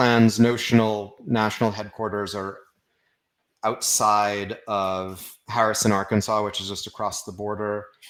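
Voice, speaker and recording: Someone with an American accent speaks at a fairly slow pace in a very clean recording with a silent background. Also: man. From Austin, Texas. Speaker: writer. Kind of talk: interview. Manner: halting.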